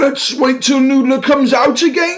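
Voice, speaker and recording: A put-on character voice speaks here, pitched high. The pace stays moderate. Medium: audio drama.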